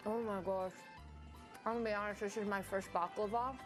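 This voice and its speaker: Over music in the background, a woman with an American accent speaks at a fairly quick pace and medium pitch, her loudness very even. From Saint Louis, Missouri. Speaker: TV lifestyle show host. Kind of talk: casual on-air interview banter. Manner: enthusiastic, bubbly.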